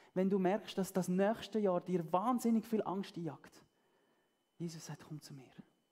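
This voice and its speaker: Warm, dark and mellow female voice, somewhat breathy and fairly slow, with big swings in loudness over a quiet background. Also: ordinary pitch variation. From German-speaking Switzerland. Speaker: preacher. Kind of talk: sermon. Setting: church. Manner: warm, earnest and conversational, with a pastoral, persuasive tone. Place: stage.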